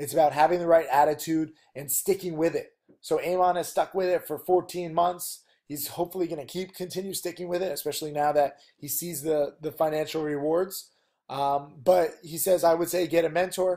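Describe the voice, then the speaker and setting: Big swings in loudness mark a man's high-pitched voice with a dark, mellow tone. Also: fairly quick pace. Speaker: penny stock trading teacher. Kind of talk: casual video lesson. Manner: animated.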